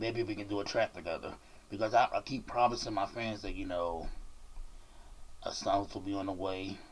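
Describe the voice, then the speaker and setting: With an American accent, this man talks at a fairly quick pace in a fairly low, somewhat breathy voice with fairly even intonation. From Washington DC. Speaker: YouTuber and rapper interviewing a guest. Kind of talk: casual interview.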